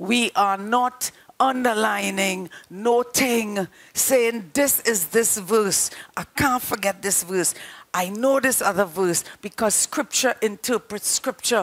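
A woman at a very slow pace with ordinary pitch variation. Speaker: preacher. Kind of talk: sermon. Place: studio. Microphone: headset.

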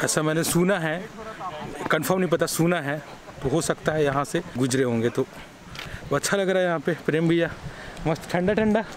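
Against noticeable background noise, a man speaks with ordinary pitch variation, very even loudness and long, frequent pauses in a dry sound with no echo. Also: moderate pace. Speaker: vlogger. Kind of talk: casual vlog chat. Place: waterside. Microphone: phone near.

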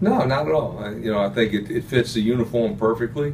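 Noticeable background noise fills the recording. Through it, a man can be heard talking. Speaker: football coach. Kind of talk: interview answer. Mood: relaxed, upbeat. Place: office.

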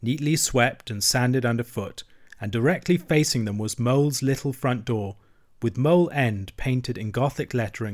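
Pitch varies in an ordinary way as the unforced voice reads.

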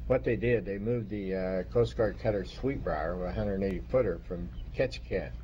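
A man speaks in a very deep, low, dark, mellow voice with vocal fry. His pitch swings very widely at a moderate pace. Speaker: Coast Guard veteran. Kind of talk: oral history interview.

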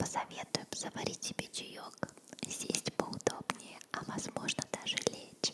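Loud background noise fills the clip. A soft-spoken woman is whispering at a very slow pace. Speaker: ASMR video host. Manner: soft close-mic ASMR whisper. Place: home room. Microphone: studio mic.

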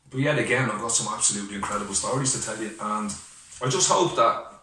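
A man talks at a very fast pace, with audible room echo and light background noise. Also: ordinary pitch variation. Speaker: personal vlogger. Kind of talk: casual vlog chat. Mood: heartfelt, grateful, emotional. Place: home room. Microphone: webcam.

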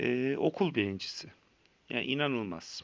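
Vocal fry runs through a man's medium-pitched voice. He talks at a fairly slow pace with lively intonation. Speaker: vlogger sharing addiction story. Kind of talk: personal testimony monologue. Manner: hesitant, many filler sounds.

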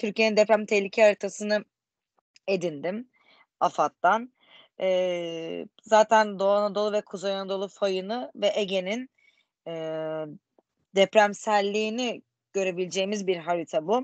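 A woman speaks with ordinary pitch variation and long, frequent pauses. The background is quiet and the sound is dry, with no echo. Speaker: student. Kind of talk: presentation. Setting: video call. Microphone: video call.

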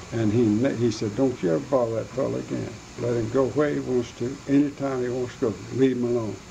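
Light background noise sits behind the speech. A man talks at a fairly quick pace. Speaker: interviewee. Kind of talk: interview answer. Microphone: old recording.

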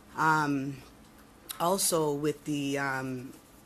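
A woman with a Toronto accent speaks in a very deep, low pitch with monotone, flat intonation. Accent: Toronto Canadian English. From Toronto, Canada. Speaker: former prisoner. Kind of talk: testimony. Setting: committee hearing room. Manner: halting.

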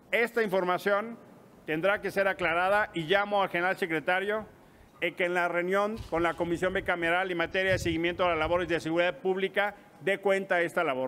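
Bright and sharp in tone, the voice moves at a fairly quick pace. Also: man, high pitch for a man, fairly even intonation. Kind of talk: press conference statement. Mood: firm, accusatory. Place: hall. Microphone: podium.

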